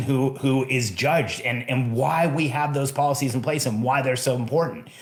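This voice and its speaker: A medium-pitched male voice with ordinary pitch variation and audible room echo. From Mexico. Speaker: podcast host, entrepreneur coach. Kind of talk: solo podcast monologue. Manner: emphatic.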